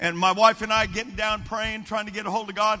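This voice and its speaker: A man with a high pitch speaks in an animated tone while noticeable background noise continues. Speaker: preacher. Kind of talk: sermon at a revival camp meeting. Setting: church camp meeting with live congregation. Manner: animated, fervent preaching with call-and-response urging; warm, conversational, humorous asides.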